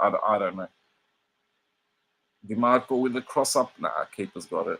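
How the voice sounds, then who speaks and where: With an Australian accent, a man is speaking. The sound is dry and close, with no echo. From Australia, Sydney. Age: 40s. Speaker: football streamer. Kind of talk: casual live watch-along commentary. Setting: live stream.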